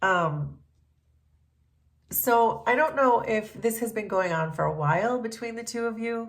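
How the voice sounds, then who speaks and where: Lively intonation marks this woman's fairly high-pitched speech, delivered at a fairly slow pace. Audible room echo surrounds her voice. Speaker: tarot reader and reiki healer. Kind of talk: collective tarot reading. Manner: casual, hesitant with fillers.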